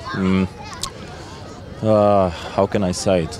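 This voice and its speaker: A man speaks in a fairly low, monotone voice with flat intonation. Noticeable background noise can be heard. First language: Polish. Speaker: firefighter. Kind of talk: interview. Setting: outdoor competition event. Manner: halting, many hesitations.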